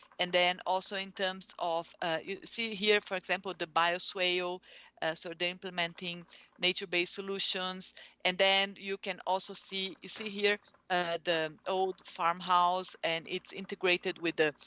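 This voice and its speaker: A woman speaks with a Portuguese accent in a monotone, flat intonation. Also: medium pitch for a woman, moderate pace. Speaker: urban planning researcher. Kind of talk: academic presentation. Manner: halting, many fillers.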